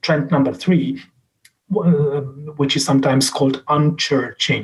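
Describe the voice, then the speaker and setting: Somewhat breathy, a man with a Czech accent speaks at a fairly high pitch with ordinary pitch variation. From Czech Republic. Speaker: professor and social scientist. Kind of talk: lecture. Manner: halting, many fillers and restarts.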